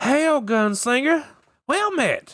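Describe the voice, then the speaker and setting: A man's put-on character voice, pitched extremely high, on a very clean recording with a silent background. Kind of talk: formal high speech. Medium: read story.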